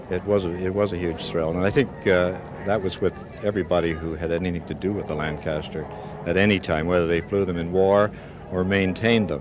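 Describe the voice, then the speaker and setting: Noticeable background noise surrounds a man whose very deep, low voice moves at a fairly quick pace with fairly even intonation. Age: 60s. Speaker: war veteran. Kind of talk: interview. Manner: halting.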